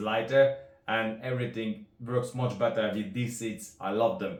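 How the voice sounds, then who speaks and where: With a Hungarian accent, a man speaks at a moderate pace and medium pitch, with audible room echo around him. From Hungary. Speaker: rod builder. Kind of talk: product demonstration. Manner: halting.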